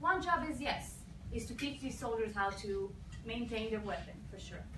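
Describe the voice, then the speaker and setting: A woman speaks with an Israeli accent, her fairly high voice moving with lively intonation. Noticeable background noise and audible room echo fill the recording. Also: moderate pace. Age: 20s. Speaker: former soldier, speaker. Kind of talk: campus talk.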